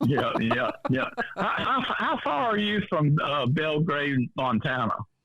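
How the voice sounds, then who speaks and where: Speaking at a very slow pace, a man with a fairly high pitch lets his voice swing very widely up and down. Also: very even loudness. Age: 70s. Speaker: UFO researcher. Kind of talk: interview. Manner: halting, repeats words.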